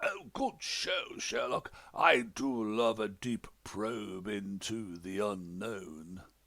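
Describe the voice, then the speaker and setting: In a put-on character voice, a man talks at a very slow pace. The tone is cheerful and the pitch fairly low. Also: hardly any pauses. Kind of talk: comic overacting. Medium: read story. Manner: hearty, cheerful.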